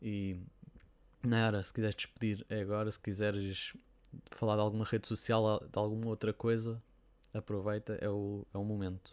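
A man speaks in a flat monotone at a fairly low pitch and a moderate pace, with long, frequent pauses. The recording is very clean, with a silent background. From Portugal. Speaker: podcast host. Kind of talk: interview.

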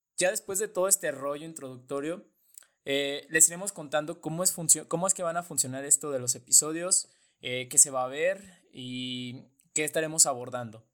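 Here a man talks at a moderate pace. His pitch is fairly high. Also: ordinary pitch variation. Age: 20s. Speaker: political science student, podcast co-host. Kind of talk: casual podcast introduction.

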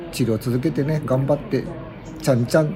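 Noticeable background noise sits under a man who talks fairly quickly at a medium pitch. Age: 50s. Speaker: podcast host. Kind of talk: casual chat. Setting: at a sauna.

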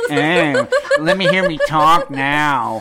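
The man's intonation is lively. Background noise is noticeable throughout. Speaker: haunted house performer. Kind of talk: casual chat. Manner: profane.

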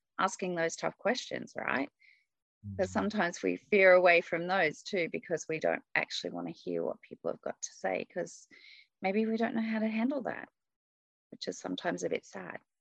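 A woman with an Australian accent at a moderate pace, in a dry, close sound with no echo. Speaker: executive coach and leadership trainer. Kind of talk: interview conversation.

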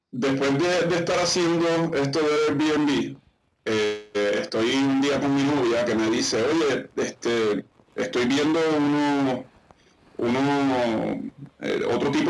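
Against noticeable background noise, a man speaks at a very slow pace, his fairly high pitch showing ordinary pitch variation. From Puerto Rico (Isabela). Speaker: basketball coach and entrepreneur. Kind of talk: interview. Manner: halting, many fillers.

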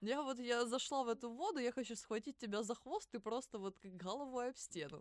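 A high-pitched woman's voice at a fairly quick pace, with ordinary pitch variation and a dry, close sound with no echo. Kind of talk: casual chat. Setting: studio. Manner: animated.

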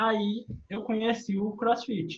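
A somewhat breathy man at a very slow pace. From Minas Gerais, Brazil. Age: 20s. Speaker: adaptive CrossFit athlete, wheelchair user. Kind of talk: casual chat.

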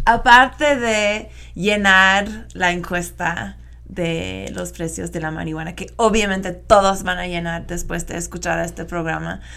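Speaking at a fairly slow pace with an American accent, a woman shows big swings in loudness, with audible room echo. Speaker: radio host. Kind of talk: interview. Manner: halting.

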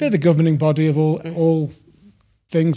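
A man with a British accent talks at a fairly quick pace in a dark, mellow tone. The recording is very clean, with a silent background. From UK. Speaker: mortgage broker. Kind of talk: interview. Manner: halting.

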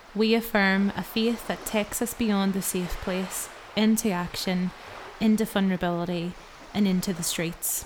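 A woman talks at a moderate pace with a Northern Irish accent. Her intonation stays flat and monotone. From Northern Ireland. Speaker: podcast co-host. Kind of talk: casual chat.

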